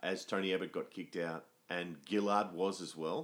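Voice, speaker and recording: Speaking with an Australian accent, a man holds a moderate pace, a fairly low pitch and fairly even intonation. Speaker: musician and theatre writer. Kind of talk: casual chat.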